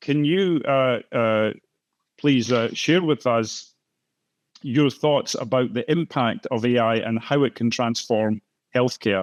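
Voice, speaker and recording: A man with a Scottish accent at medium pitch and a very slow pace, very even in loudness, ordinary pitch variation, a quiet background and a dry, close sound with no echo. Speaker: moderator, professor of biochemistry. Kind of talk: panel discussion moderation. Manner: hesitant, many fillers and repetitions.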